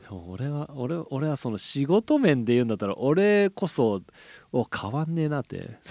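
The voice has a dark, mellow tone and very wide pitch swings at a moderate pace. The recording is dry and close, without echo. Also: man, fairly high pitch for a man, very clean recording, silent background. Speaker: podcast co-host. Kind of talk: casual chat.

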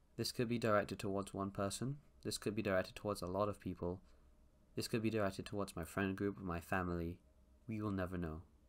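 In a very clean recording with a silent background, a man speaks very fast with a fairly low pitch and fairly even intonation. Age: young. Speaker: podcaster. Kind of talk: casual monologue. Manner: hesitant, filler-heavy.

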